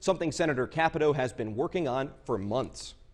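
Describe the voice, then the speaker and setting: With an unremarkable speaking voice, a man talks at a moderate pace, his fairly high pitch carried by lively intonation. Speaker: TV news anchor and reporter. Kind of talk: TV news anchor delivery.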